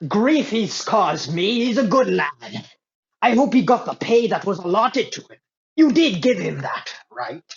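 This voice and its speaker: A man performs a put-on character voice. His pitch is high. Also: moderate pace. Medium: actual play. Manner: formal, guarded.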